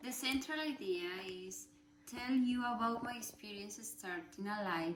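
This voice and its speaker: A woman speaks at a fairly slow pace with lively intonation. There is audible room echo and noticeable background noise. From Colombia. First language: Spanish. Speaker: student. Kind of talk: class presentation speech. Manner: halting.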